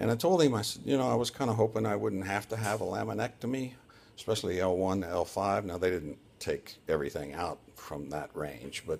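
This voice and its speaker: A man speaks at a fairly quick pace and fairly low pitch. Vocal fry runs through his voice. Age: 60s. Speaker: surgery patient vlogger. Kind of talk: personal video diary. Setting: hospital room.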